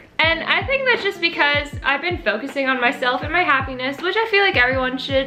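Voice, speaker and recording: Music plays in the background as a woman projects a raised, high-pitched voice with lively intonation at a fairly quick pace. Audible room echo surrounds her. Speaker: YouTuber. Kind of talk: casual chat. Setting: friend's living room, filming at home. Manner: fast.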